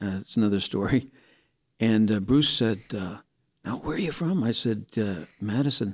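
With a US Midwestern accent, this man talks at a moderate pace in a fairly low pitch, his pitch varying in an ordinary way. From Indiana, US Midwest. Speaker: pastor. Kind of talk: casual interview, telling his life story.

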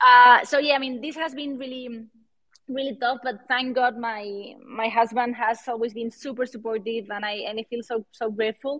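A woman's high-pitched voice with a Spanish accent, fairly even intonation and a moderate pace. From Spain. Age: 30s. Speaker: NFT artist and entrepreneur. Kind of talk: interview. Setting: live online audio room. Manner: halting.

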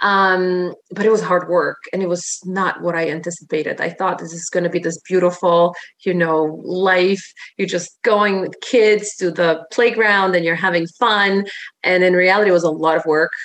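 A woman with a Polish accent speaks at a medium pitch and a moderate pace. Her intonation stays monotone and flat. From Poland. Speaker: fitness and life coach. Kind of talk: casual interview chat.

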